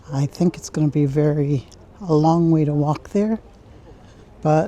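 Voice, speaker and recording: Noticeable background noise sits behind a woman with a very deep, low pitch. She talks at a fairly slow pace with fairly even intonation. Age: 60s. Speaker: travel vlogger. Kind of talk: casual vlog narration while walking. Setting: outdoors, walking through town streets. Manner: chatty, conversational.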